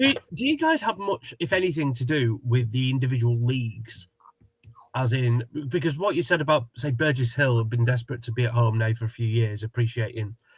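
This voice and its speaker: The voice comes with a Sussex accent. It sounds somewhat breathy. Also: man, medium pitch for a man, ordinary pitch variation, fairly quick pace. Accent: local Sussex. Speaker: football show host. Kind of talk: casual chat.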